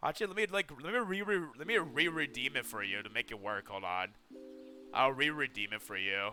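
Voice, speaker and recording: A man with a fairly high pitch and very wide pitch swings, at a fairly quick pace over music in the background. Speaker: VTuber streamer. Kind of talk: casual livestream chat with viewers. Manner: loud; animated.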